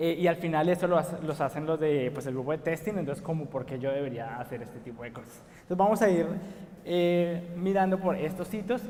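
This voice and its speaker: A fairly high-pitched man with a Colombian accent, ordinary pitch variation and a fairly quick pace, over noticeable background noise. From Colombia, Bogotá. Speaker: software engineer, conference speaker. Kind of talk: conference talk. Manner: frequent filler words (eh, pues).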